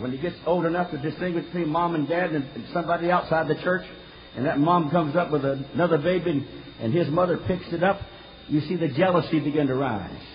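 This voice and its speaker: Noticeable background noise sits under a man with an American accent speaking at a fairly quick pace. His pitch is high, with ordinary pitch variation. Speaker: pastor. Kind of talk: sermon.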